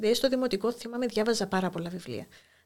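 A woman's normal speaking voice, fairly high in pitch, on a very clean recording with a silent background. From Cyprus, Famagusta. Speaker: school inspector and poet. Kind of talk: interview.

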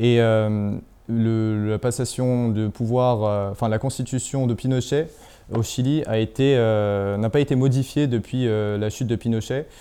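With a dark, mellow tone at medium pitch, a man speaks at a very slow pace with very even loudness and fairly even intonation. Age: young. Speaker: independent journalist. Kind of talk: interview.

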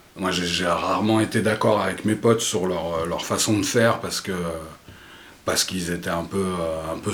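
Speaking at a fairly slow pace, a man with a fairly low pitch keeps his intonation fairly even, and audible room echo surrounds him. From France, Paris area (Vincennes). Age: 50s. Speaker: podcast guest. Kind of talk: casual interview conversation; reading aloud. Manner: halting, many repetitions and hesitations.

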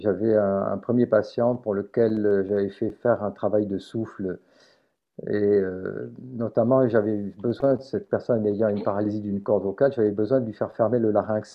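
Here a man talks with a fairly low pitch and fairly even intonation. His pace is moderate. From southern France. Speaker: phoniatrist. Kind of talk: interview. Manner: soft-spoken.

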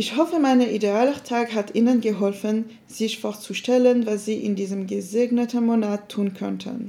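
A woman with a fairly high pitch has a dark, mellow tone that is somewhat breathy. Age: 20s. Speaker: university student.

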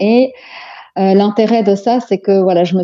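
With an unremarkable speaking voice, this woman keeps a medium pitch, a moderate pace and ordinary pitch variation. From Belgium, Antwerp, of Moroccan descent. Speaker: psychopedagogue, life coach. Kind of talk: interview.

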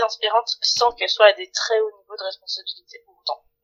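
With an unremarkable speaking voice, a woman talks at a fairly quick pace in a fairly high pitch, in a dry, close sound with no echo. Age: 40s. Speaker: HR director. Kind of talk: interview.

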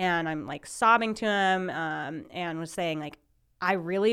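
A woman with an American accent speaks in an unremarkable speaking voice at a medium pitch. Her intonation is lively, and the recording is very clean with a silent background. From Minnesota. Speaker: startup founder and CEO. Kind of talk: interview storytelling.

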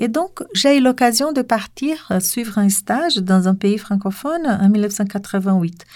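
A woman speaks at a very slow pace with fairly high pitch and lively intonation. The recording is very clean, with a silent background. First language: Portuguese (speaking French). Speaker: French teacher, association president. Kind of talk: interview.

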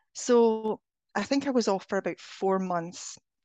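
The speaker has a Scottish accent and ordinary pitch variation. The sound is dry and close with no echo, over a quiet background. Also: woman. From Scotland. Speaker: spiritual healing coach. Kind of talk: interview.

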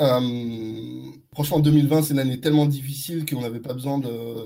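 A man's somewhat breathy, dark, mellow voice, fairly high in pitch, with fairly even intonation at a moderate pace. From France, Neuilly-sur-Seine. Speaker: advertising agency founder. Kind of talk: interview.

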